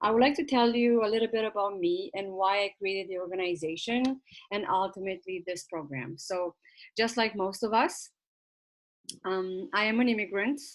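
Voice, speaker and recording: A woman speaks with a Romanian accent. Her pitch is medium. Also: ordinary pitch variation, moderate pace. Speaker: nonprofit founder. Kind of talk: info session presentation. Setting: virtual session.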